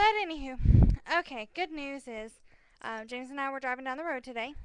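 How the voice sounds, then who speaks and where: A woman speaks with lively intonation, keeping to a moderate pace. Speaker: vlogger. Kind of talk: casual chat. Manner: loud. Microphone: sitting far back from the microphone.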